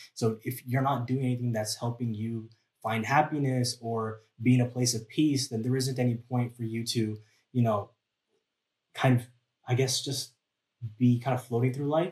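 The delivery is monotone and flat, somewhat breathy, at a moderate pace. Long, frequent pauses break it up. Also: man, medium pitch for a man. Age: 20s. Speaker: multidisciplinary artist and photographer. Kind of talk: casual chat. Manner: halting.

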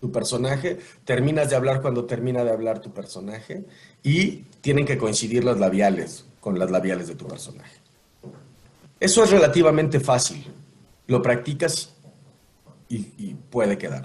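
Lively intonation and vocal fry mark this man's medium-pitched voice, with big swings in loudness. Long, frequent pauses break his speech, and audible room echo surrounds it. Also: moderate pace. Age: 40s. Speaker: voice actor and announcer. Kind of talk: casual interview. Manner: animated.

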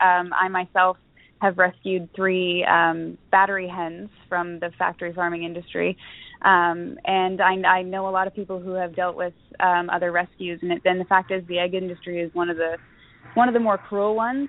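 A woman has a normal speaking voice at medium pitch. Her intonation is fairly even and her pace moderate. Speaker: festival organizer. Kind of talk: casual interview chat.

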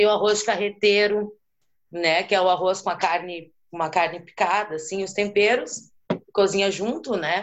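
A woman talks at a moderate pace. Her pitch sits in the medium range, and her intonation stays fairly even. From Rio Grande do Sul, Brazil (Porto Alegre). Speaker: interview guest. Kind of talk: casual interview.

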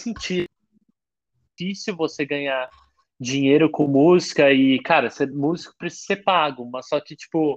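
A man talks with ordinary pitch variation. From Rio de Janeiro, Brazil. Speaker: singer-songwriter. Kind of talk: casual chat. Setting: remote call from his bedroom. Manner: halting.

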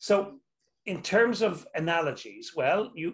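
A man with a Dublin accent speaks in a somewhat breathy voice. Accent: Irish (Dublin). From Ireland, Dublin. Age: 60s. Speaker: clinical anatomist and movement teacher. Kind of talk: interview with anatomy demonstration. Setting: video call.

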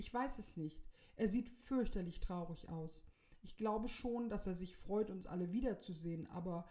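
Lively intonation in an unforced reading voice

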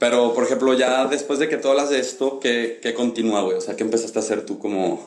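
Speech with ordinary pitch variation moves at a fairly quick pace amid noticeable background noise and audible room echo. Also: man. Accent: Mexican. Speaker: podcast host. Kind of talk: casual chat.

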